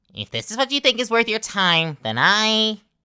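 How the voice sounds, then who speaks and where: This female-sounding voice sits at a medium pitch for a woman. It is a put-on character voice delivered at a fairly slow pace. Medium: solo performance. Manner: chummy and cajoling, turning sneering.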